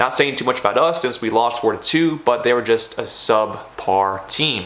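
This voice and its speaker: Against noticeable background noise, a man talks at a moderate pace and medium pitch with ordinary pitch variation. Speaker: semi-pro soccer player and vlogger. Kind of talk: vlog commentary. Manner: low energy.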